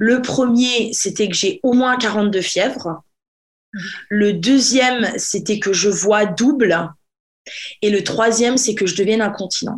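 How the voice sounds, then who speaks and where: Speaking at a very slow pace, a woman with a fairly high pitch shows ordinary pitch variation. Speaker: podcast host. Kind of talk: casual chat.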